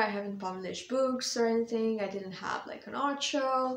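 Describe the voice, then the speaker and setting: A woman's voice with audible room echo. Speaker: vlogger and author. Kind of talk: casual update vlog. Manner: hesitant, many fillers. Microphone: small clip-on mic, voice sometimes too quiet.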